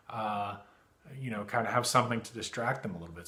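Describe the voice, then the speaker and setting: A man speaks at a medium pitch with fairly even intonation. The room echo is audible. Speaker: therapist. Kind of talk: tutorial. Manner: halting.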